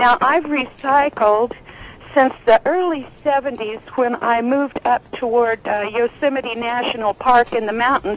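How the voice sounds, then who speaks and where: Speaking at a moderate pace with an American accent, a woman with a high pitch and ordinary pitch variation sounds dry and close with no echo, over noticeable background noise. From California. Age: 60s. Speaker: caller. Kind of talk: call-in question.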